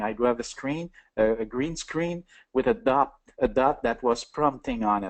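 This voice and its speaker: A man speaks in a French accent with lively intonation. The background is quiet. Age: 60s. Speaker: entrepreneur. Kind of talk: interview. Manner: halting.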